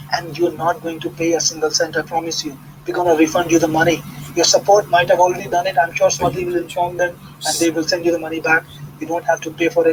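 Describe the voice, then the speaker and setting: A high-pitched man with a non-native accent at a very fast pace, over noticeable background noise. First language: not English. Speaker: internet marketer hosting product launch webinar. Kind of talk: live webinar sales pitch with Q&A. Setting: live online webinar call. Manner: animated, conversational with hesitations.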